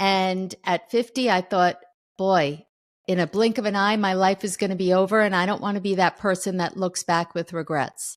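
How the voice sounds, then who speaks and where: In a very clean, dry and close recording with no echo and a silent background, a woman speaks in an unremarkable speaking voice at medium pitch, a moderate pace and fairly even intonation. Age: 60s. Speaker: author. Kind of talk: interview.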